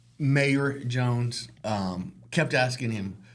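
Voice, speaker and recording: There is audible room echo around a man's voice. He speaks at a medium pitch with ordinary pitch variation. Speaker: realtor and podcast host. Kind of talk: casual chat. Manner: animated.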